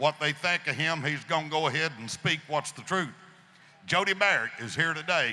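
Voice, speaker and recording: Talking at a moderate pace in a West Tennessee accent, a man with a fairly high pitch shows ordinary pitch variation. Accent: Southern US (West Tennessee). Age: 70s. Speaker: gun rights advocate. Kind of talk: speech to audience. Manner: animated.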